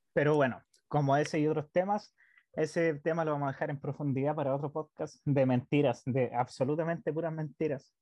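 A man with a Chilean accent talks at a fairly quick pace. His pitch is fairly high and his intonation fairly even. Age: 20s. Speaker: podcast co-host. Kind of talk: casual chat.

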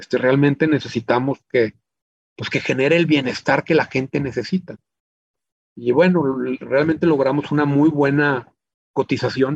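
A man with a fairly high pitch, fairly even intonation, a moderate pace and long, frequent pauses, in a dry, close sound with no echo. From Chihuahua, northern Mexico. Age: 50s. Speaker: business owner. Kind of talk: interview. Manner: halting, frequent repetitions.

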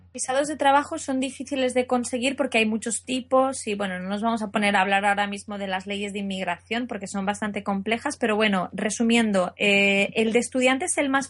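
A woman speaks at a fairly quick pace with hardly any pauses, her somewhat breathy voice set fairly high and moving with ordinary pitch variation. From Asturias, Spain. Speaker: translator and interpreter. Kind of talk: casual interview.

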